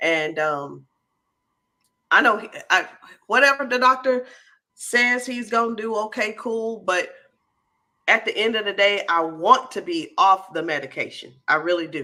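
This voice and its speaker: A woman's fairly high voice with very wide pitch swings, a bright, sharp tone, and long, frequent pauses. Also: fairly slow pace. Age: 50s. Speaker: live stream host selling candy. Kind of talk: casual live panel chat. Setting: live video stream.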